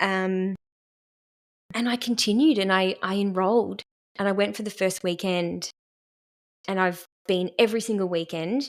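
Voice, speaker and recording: In an Australian accent, a woman with a medium-pitched voice speaks at a moderate pace with fairly even intonation and long, frequent pauses. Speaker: therapist in training. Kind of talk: casual podcast conversation.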